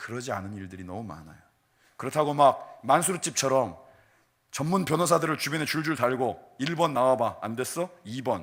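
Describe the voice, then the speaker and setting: Against a silent background in a very clean recording, a man talks at a moderate pace. He has a normal speaking voice at medium pitch, with lively intonation. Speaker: pastor. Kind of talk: sermon.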